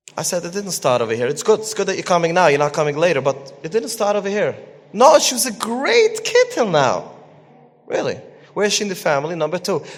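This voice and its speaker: Over noticeable background noise, a man with a high voice talks very fast, his pitch swinging very widely. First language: Yiddish. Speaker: parenting coach and Torah teacher. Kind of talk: lecture.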